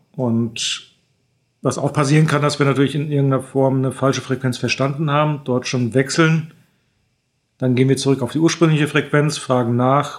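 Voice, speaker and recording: In a very clean recording with a silent background, a man speaks at medium pitch and a moderate pace in a monotone, flat intonation. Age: 50s. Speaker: airline training captain. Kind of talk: expert interview. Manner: hesitant fillers (äh).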